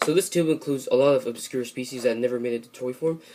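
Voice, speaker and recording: A man's voice with noticeable background noise. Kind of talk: casual toy review to camera.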